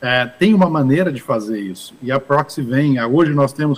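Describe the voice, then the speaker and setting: Speaking at a fairly slow pace, the speaker has a plain, everyday voice. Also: man. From Brazil, interior of São Paulo state (Ribeirão Preto). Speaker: investment fund manager. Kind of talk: interview at business summit.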